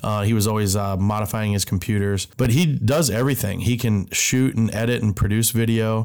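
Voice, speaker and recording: A man with a fairly low pitch and a normal speaking voice talks at a fairly quick pace. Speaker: podcast co-host, designer. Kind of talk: casual chat.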